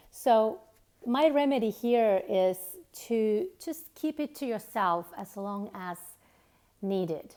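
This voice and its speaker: A woman's fairly high pitch with a dark, mellow tone and lively intonation. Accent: Finnish. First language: Finnish. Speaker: author and self-help coach. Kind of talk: motivational talk to camera. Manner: halting, with fillers.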